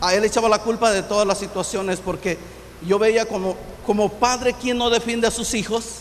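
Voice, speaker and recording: A man with a Michoacán accent talks at a moderate pace with a high pitch. His intonation is monotone and flat, over noticeable background noise. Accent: Mexican Spanish, Michoacán. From Michoacán, Mexico. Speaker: pastor. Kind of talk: testimony.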